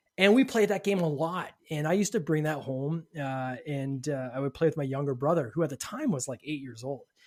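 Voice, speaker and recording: Speaking with a Canadian accent, a man uses a plain, everyday voice with a fairly high pitch and ordinary pitch variation, talking at a fairly quick pace with hardly any pauses. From Canada. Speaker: podcast host and game designer. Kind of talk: casual interview chat.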